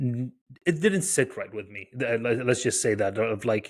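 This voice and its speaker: A man with an American accent speaks at a medium pitch. His fairly slow delivery comes on a very clean recording with a silent background. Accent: very faint foreign accent, American-sounding. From Iraq, Baghdad. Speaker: tech founder and researcher. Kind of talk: podcast interview. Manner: hesitant, many fillers.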